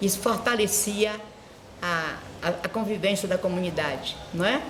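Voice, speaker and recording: Noticeable background noise and audible room echo surround a woman's voice. Her loudness stays very even, with ordinary pitch variation. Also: medium pitch for a woman, moderate pace. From Brazil, Bahia (Morro de São Paulo). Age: 80s+. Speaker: schoolteacher and vice-principal. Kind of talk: oral history interview. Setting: school.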